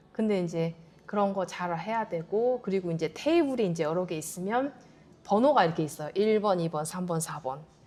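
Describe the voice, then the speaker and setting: A woman's fairly quick, lively speech at medium pitch, dark and mellow in tone. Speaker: Korean immigrant interviewee. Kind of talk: interview.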